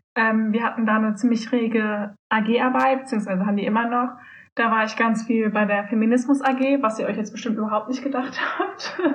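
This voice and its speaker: A woman speaks in a fairly high, somewhat breathy voice with ordinary pitch variation, and the room echo is audible. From Germany, Solingen. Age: 20s. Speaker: student, youth politics activist. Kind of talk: casual chat.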